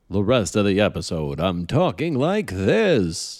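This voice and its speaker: Using a put-on character voice, a man speaks fairly slowly at a fairly low pitch with very wide pitch swings. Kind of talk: announcer voice.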